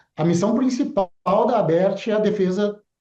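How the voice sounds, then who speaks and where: This man's tone is dark and mellow, his pitch varies in an ordinary way, and his pace is moderate. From southern Brazil (Rio Grande do Sul). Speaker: broadcasting association executive. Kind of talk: TV interview. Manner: halting, with fillers.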